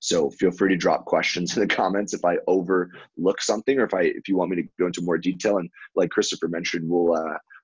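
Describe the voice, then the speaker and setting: A man's very deep, low voice at a very fast pace with hardly any pauses, in a dry, close sound with no echo. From New York. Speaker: productivity coach. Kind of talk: webinar presentation. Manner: animated.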